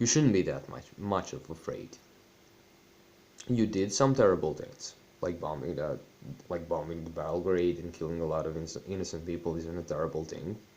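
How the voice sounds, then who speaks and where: A man with a Serbian accent speaks in a very deep, low pitch at a moderate pace. His pitch variation is ordinary, and he leaves long, frequent pauses. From Serbian, former Yugoslavia. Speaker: YouTuber. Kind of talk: personal vlog monologue. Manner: halting.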